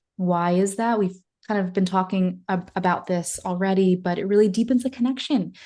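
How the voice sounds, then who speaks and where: A somewhat breathy woman's voice with a dark, mellow tone, a fairly quick pace and ordinary pitch variation. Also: quiet background. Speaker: social media marketing consultant. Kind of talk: webinar presentation. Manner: fast.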